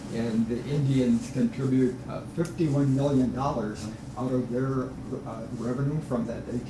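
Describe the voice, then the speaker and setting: Amid noticeable background noise and audible room echo, a man of medium pitch speaks at a moderate pace with fairly even intonation. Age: 70s. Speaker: senior discussion group member. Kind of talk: casual group discussion.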